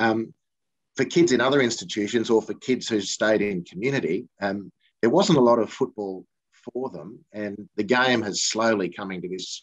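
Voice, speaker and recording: A man with an Australian accent speaks at a moderate pace in a fairly low pitch, with ordinary pitch variation. The sound is dry and close with no echo, over a quiet background. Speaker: football broadcaster, former player. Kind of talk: interview.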